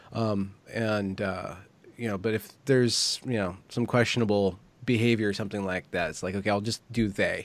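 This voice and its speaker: Here is a man with an unremarkable speaking voice. His pitch is fairly low and his intonation fairly even. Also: moderate pace. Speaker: interviewer and commentator. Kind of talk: casual conversation. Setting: online video interview.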